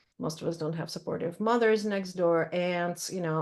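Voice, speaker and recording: A woman with a Russian accent speaks at a moderate pace, her fairly low voice showing ordinary pitch variation. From Ukraine and Russia (Odessa, Moscow). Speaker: poet and creative writing teacher. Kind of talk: Q&A conversation at a reading event. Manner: hesitant, many fillers.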